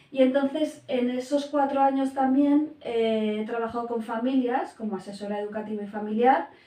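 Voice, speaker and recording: A woman's high voice, with ordinary pitch variation, moves at a moderate pace over noticeable background noise. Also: hardly any pauses. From Spain, Basque Country (San Sebastián). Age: 40s. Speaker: family and educational coach, primary teacher. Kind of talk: interview. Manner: hesitant, many fillers.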